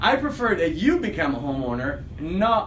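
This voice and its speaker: Speaking with an Italian accent, a man uses a high pitch, an animated tone and lively intonation. Audible room echo and noticeable background noise come through. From Italy. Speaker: realtor. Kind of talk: casual video commentary.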